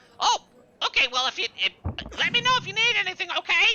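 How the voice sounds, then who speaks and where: Someone puts on a character voice at an extremely high pitch. The delivery is very fast. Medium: actual play. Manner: confused, repetitive, cheerful.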